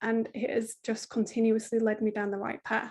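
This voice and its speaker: A woman speaks in a British accent. Her pitch is fairly high. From Britain. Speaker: parenting coach. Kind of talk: podcast interview.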